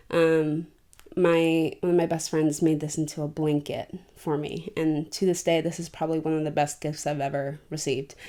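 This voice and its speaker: A relaxed, dark, mellow tone with monotone, flat intonation, on a very clean recording with a silent background. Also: woman, very deep, low pitch for a woman, moderate pace. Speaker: podcast host and independent producer. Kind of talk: casual chat. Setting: at home on her bed. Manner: relaxed, filler-heavy.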